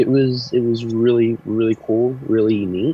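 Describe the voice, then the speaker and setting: A man's medium-pitched voice with an American accent, fairly even intonation and a moderate pace, over music in the background. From Oklahoma. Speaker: marine. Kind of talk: interview. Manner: formal.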